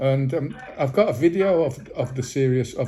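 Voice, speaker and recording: A man speaks at a moderate pace with a medium pitch. His tone is dark and mellow, and somewhat breathy. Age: 60s. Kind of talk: phone call complaint. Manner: halting, many repetitions.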